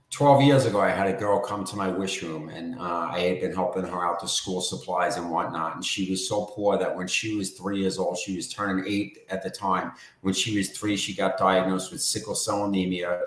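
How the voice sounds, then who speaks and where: With a New York accent, a man speaks at a moderate pace in a very deep, low pitch, with hardly any pauses. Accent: New York accent, sometimes heard as Bostonian. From New York, Long Island. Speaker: charity founder. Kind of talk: interview.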